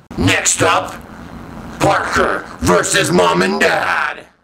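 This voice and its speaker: This man's pitch is very deep and low. He talks at a very slow pace. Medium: comedy sketch. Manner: taunting, game-show host.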